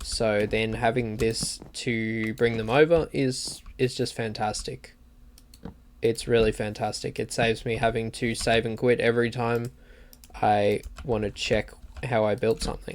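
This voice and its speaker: The speaker has an Australian accent and moves at a fairly slow pace. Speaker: gaming streamer. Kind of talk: live gameplay commentary. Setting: livestream. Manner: casual, halting.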